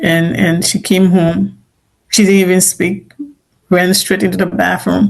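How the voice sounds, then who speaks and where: A woman with an African accent shows vocal fry and ordinary pitch variation. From Liberia. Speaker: immigrant author, interviewee. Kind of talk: interview testimony. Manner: halting, many repeated words.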